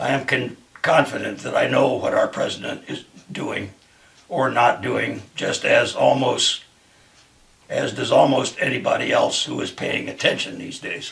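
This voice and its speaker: Using a raspy, put-on character voice, a man talks at a moderate pace. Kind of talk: dramatic reading of a monologue. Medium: solo performance. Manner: earnest, measured, occasionally halting.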